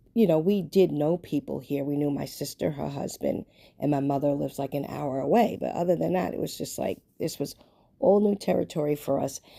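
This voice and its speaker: Against a silent background on a very clean recording, a woman with a New York accent speaks at a moderate pace, her very deep, low pitch carrying a dark, mellow tone. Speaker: lifestyle vlogger. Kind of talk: casual personal vlog monologue. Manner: conversational, filler-heavy.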